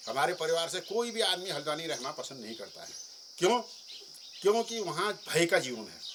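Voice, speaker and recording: Noticeable background noise sits behind a man with a high pitch whose intonation is lively and whose loudness swings widely. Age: 60s. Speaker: villager. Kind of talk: interview.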